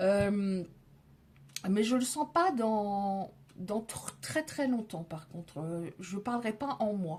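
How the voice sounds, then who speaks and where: This is a woman with a medium pitch. Her pitch varies in an ordinary way. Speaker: tarot card reader. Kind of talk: tarot reading. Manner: loud.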